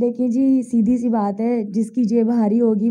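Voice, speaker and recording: A woman talks at a fairly slow pace in a high pitch. Her tone is dark and mellow. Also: quiet background. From Pakistan. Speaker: stage actress and dancer; stage actress. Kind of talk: interview. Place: home room. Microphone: handheld.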